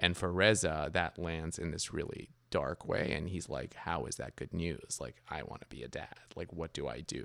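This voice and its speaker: A man with an American accent speaks at a moderate pace in a very deep, low pitch with vocal fry. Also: ordinary pitch variation. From New York area, after Iran, Paris, Toronto. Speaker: novelist and screenwriter. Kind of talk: interview.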